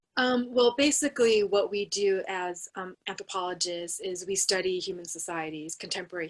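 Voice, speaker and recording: In an American accent, a woman speaks at a moderate pace and medium pitch. Hers is an ordinary speaking voice with ordinary pitch variation. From United States. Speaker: anthropologist, university researcher. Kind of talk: panel discussion.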